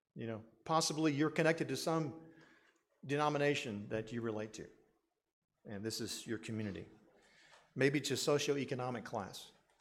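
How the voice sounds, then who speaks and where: In a room with audible echo, a man at medium pitch talks at a fairly quick pace with ordinary pitch variation and long, frequent pauses. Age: 60s. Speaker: pastor. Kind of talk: sermon.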